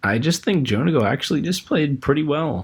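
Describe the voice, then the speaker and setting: A man's somewhat breathy voice sits fairly high in pitch, captured on a very clean recording with a silent background. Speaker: podcast host discussing competitive Pokemon. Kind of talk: casual chat.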